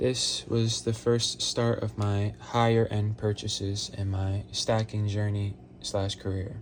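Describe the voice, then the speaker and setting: Amid noticeable background noise, a man with a fairly low pitch and fairly even intonation talks at a very slow pace with hardly any pauses. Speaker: silver stacker, precious metals collector. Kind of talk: casual commentary talk to camera. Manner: rambling.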